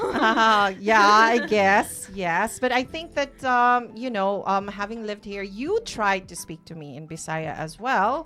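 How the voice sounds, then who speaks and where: A woman talks fairly slowly with lively intonation and big swings in loudness, over noticeable background noise. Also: medium pitch for a woman, hardly any pauses. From Philippines, Cebu. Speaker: radio host. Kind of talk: casual chat. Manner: halting.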